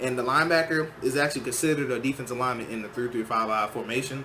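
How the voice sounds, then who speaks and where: Amid noticeable background noise and audible room echo, a man at a medium pitch talks very fast with fairly even intonation. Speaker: gaming YouTuber. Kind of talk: tutorial.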